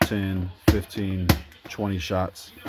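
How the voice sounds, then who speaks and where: A fairly low-pitched man amid noticeable background noise. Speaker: fireworks hobbyist vlogger. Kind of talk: casual product review.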